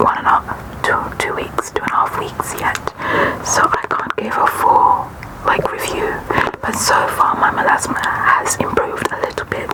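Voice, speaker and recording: A woman's relaxed whispering at a moderate pace, broken by long, frequent pauses, over noticeable background noise. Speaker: ASMR creator. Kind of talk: ASMR product review talking to camera. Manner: breathy whisper, relaxed.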